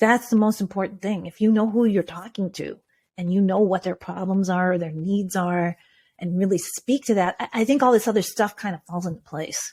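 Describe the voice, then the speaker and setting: In a very clean recording with a silent background, a woman speaks at a moderate pace in a medium pitch, her tone dark, mellow and somewhat breathy. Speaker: video coach for entrepreneurs. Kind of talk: interview conversation. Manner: animated; laughs a lot.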